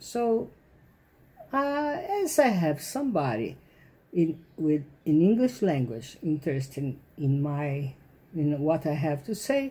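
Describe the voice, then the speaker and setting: With a non-native accent, a woman speaks at a very slow pace in a very deep, low pitch, her tone dark, mellow and somewhat breathy, with long, frequent pauses. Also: lively intonation. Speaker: author. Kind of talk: casual talk to camera. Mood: indignant, opinionated. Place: home room. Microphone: phone near.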